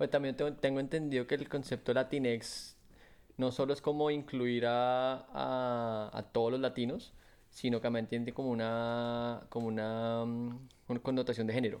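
Against a quiet background, a man talks fairly slowly at a medium pitch with monotone, flat intonation. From Colombia. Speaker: podcast co-host. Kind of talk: casual chat.

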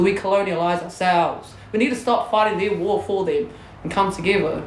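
Over noticeable background noise, a woman with medium pitch talks at a fairly quick pace with ordinary pitch variation. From New Zealand (Māori, Porirua). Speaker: hunting guide and Māori community advocate. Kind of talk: casual chat. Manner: animated.

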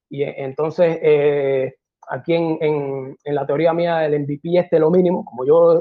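Here is a man with a plain, everyday voice pitched fairly high. His intonation stays fairly even. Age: 30s. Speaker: tech entrepreneur. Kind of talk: talk presentation.

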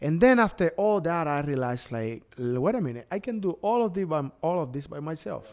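This man has a Cuban accent and a fairly high pitch. His pitch swings very widely. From Cuba, Pinar del Río. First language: Spanish. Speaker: DJ and entertainer. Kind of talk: casual interview. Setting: studio, video podcast.

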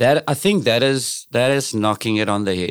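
Recorded very cleanly over a silent background, a man speaks at a moderate pace in a South African accent. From South Africa, Cape Flats (Cape Town). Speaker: singer and entertainer. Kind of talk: casual interview chat.

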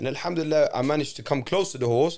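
A man with a London accent talks at a very fast pace with lively intonation, on a very clean recording with a silent background. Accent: London English, multicultural London. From London, England, Moroccan family. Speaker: adventure trip organiser, former teacher. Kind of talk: casual chat. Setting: studio.

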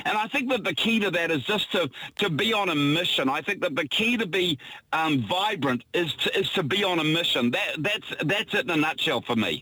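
In a New Zealand accent, a man speaks at a moderate pace with a high pitch, lively intonation and an energetic tone. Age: 60s. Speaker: entrepreneur and philanthropist. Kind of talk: radio interview. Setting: outdoors by the harbour.

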